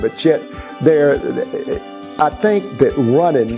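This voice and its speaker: Music sounds behind this voice. A man talks at a moderate pace. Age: 70s. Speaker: marathon and ultra runner. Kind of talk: interview answer.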